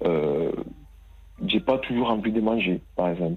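The man's pitch is medium. He keeps a moderate pace. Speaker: caller. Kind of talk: testimony. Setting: phone call. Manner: halting.

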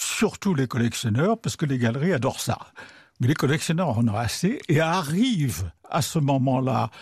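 Over a quiet background, in a dry, close sound with no echo, a man speaks at medium pitch in a somewhat breathy voice with very wide pitch swings. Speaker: art critic and writer. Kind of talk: radio interview. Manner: conversational, hesitant with fillers.

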